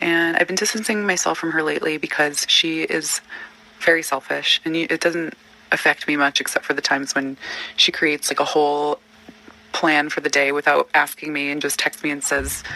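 A woman talks fairly quickly in a very deep, low voice. The sound is dry and close with no echo, though background noise is noticeable. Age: 30s. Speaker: caller. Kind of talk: voicemail.

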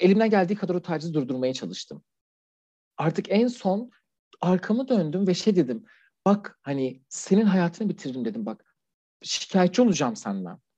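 A man speaks with a high pitch and a dark, mellow tone. His voice makes very wide pitch swings. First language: Persian (speaking Turkish). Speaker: LGBT+ refugee, anonymous guest. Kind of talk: interview testimony. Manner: formal; hesitant, many fillers.

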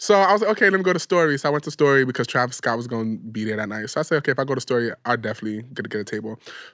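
A man talks at a very fast pace with hardly any pauses, his medium-pitched voice animated and lively in intonation. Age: 20s. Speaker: podcast co-host. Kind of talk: casual chat.

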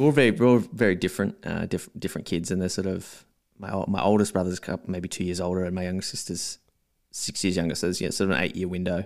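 A man in an Australian accent, very deep and low in pitch, at a very fast pace with ordinary pitch variation, on a very clean recording with a silent background. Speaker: watch enthusiast and marketer. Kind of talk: casual interview chat.

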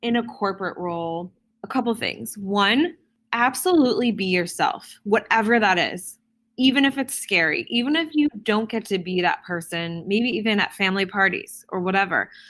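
This woman has a plain, everyday voice, fairly high in pitch with lively intonation. She talks at a moderate pace in a very clean recording with a silent background. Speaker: advertising agency executive. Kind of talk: interview.

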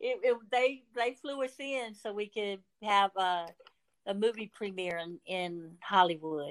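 A woman at medium pitch and a very slow pace, lively in intonation, with a dry, close sound and no echo. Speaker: nonprofit founder. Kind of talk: interview.

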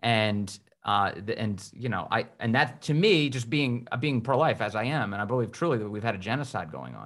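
An unremarkable speaking voice from a man at medium pitch, with ordinary pitch variation, a fairly quick pace and hardly any pauses. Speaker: podcast co-host. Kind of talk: interview conversation.

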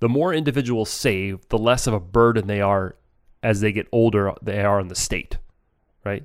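This man has a fairly low pitch and an unremarkable speaking voice. He talks at a moderate pace. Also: ordinary pitch variation. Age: 40s. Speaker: financial advisor and podcast co-host. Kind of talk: casual educational chat.

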